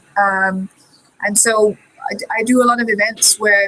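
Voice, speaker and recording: Her intonation fairly even, a woman with a Danish accent speaks at a medium pitch. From Denmark. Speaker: career consultant. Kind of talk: online panel discussion. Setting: video call.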